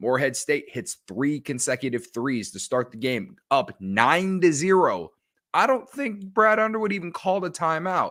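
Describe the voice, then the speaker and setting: A man's animated tone, very wide pitch swings and moderate pace, on a very clean recording with a silent background. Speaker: sports podcast host. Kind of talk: casual podcast commentary. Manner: loud.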